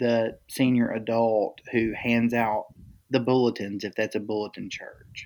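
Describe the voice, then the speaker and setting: Here a man uses an ordinary speaking voice at a medium pitch and a fairly slow pace. The recording is very clean, with a silent background. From Texas Gulf Coast. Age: 40s. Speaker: ministry leader and guest. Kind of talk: casual podcast interview.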